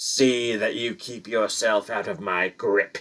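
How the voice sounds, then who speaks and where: Growling in a put-on character voice, a man speaks at a fairly slow pace and medium pitch. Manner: snarling, menacing.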